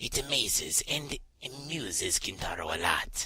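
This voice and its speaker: A raspy, put-on character voice from a man, delivered at a moderate pace. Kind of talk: interview answer. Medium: role play. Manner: hesitant.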